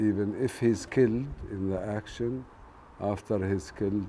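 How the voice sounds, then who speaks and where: A man speaks in a Palestinian accent with a dark, mellow tone. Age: 60s. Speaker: farmer. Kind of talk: documentary interview.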